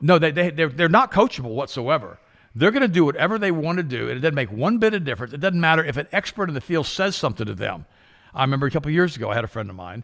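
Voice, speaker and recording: Very fast and full of very wide pitch swings, a man's fairly high voice carries vocal fry. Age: 60s. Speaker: health talk show host. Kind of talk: casual chat. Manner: animated.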